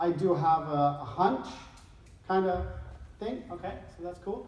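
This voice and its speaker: The speaker talks at a fairly slow pace with a Swedish accent. Room echo is audible, and background noise is noticeable. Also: woman. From Sweden. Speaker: behavioral scientist and speaker. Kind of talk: conference talk. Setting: stage with audience.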